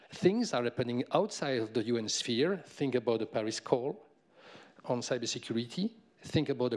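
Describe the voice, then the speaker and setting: A man speaks at a moderate pace with lively intonation over a quiet background. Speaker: tech company representative; speaker. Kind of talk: panel discussion. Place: stage. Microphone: handheld.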